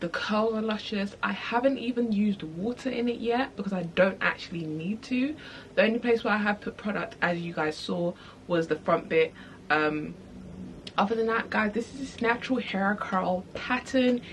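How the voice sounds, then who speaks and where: A woman talks at a moderate speed in a somewhat breathy, fairly high voice whose pitch varies in an ordinary way. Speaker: beauty vlogger. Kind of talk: product review. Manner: soft-spoken.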